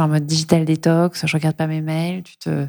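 A woman's fairly low, dark, mellow voice at a fairly slow pace. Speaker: podcast host. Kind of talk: interview.

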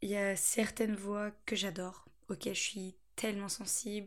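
A woman's somewhat breathy, fairly high voice, fairly slow, with fairly even intonation. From France, Angers area (Anjou). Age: 20s. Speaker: podcast host, student. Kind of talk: solo monologue podcast. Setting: at parents' home. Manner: chatty, frequent laughter.

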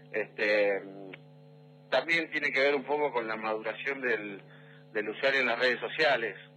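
Pitch varies in an ordinary way at a moderate pace. The speaker pauses long and often. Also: man, medium pitch for a man. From Argentina, Neuquén. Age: 40s. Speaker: digital marketing executive. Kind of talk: radio interview.

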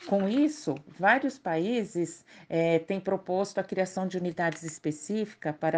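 Against a quiet background, a woman speaks in a normal speaking voice at a moderate pace, her medium pitch showing ordinary variation. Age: 50s. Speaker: podcast co-host, mother. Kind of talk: scripted health explainer.

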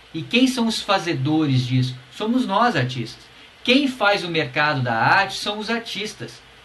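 Amid noticeable background noise and audible room echo, a man talks at a fairly slow pace in a high voice with very wide pitch swings. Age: 40s. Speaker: podcast host, musician. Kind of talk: solo podcast talk, advice. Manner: casual, animated.

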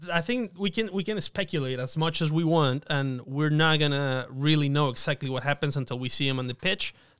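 Fairly quick with hardly any pauses, a man has a plain, everyday voice at a fairly high pitch with ordinary pitch variation, on a very clean recording with a silent background. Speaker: sports broadcaster guest. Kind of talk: casual chat.

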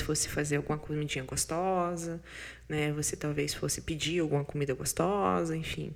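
A woman speaks at a very deep, low pitch with a bright, sharp tone. Her pace is moderate and her pitch varies in an ordinary way. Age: 30s. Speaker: podcast host and business consultant. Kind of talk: casual monologue with self-help tips. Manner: animated.

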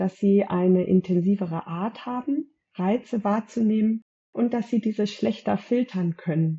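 Somewhat breathy, a woman speaks at a fairly slow pace. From Germany, Gütersloh area. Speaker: eczema counselor and high-sensitivity expert. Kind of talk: interview.

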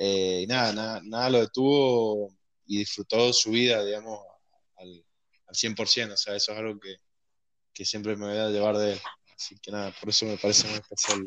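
With long, frequent pauses, a man speaks in a monotone, flat way against a quiet background. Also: fairly low pitch for a man, moderate pace, big swings in loudness. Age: 20s. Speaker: programmer. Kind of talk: casual chat. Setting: remote recording from home.

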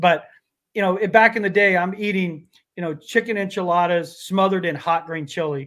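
A man with an American accent speaks very fast at a high pitch. The recording is very clean, with a silent background. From Colorado (Pueblo). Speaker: sports reporter. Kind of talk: casual interview.

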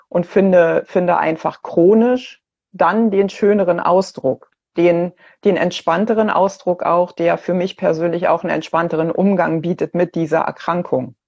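Using a plain, everyday voice, a woman speaks at a fairly slow pace with a fairly low pitch and ordinary pitch variation. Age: 50s. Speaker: cancer patient. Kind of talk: casual chat. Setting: video call.

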